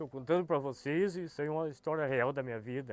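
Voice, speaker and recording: Music plays in the background as a man talks in a fairly high voice with ordinary pitch variation. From Rio Grande do Sul, Brazil (São Gabriel). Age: 60s. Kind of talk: testimony. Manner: halting, with hesitations and repetitions.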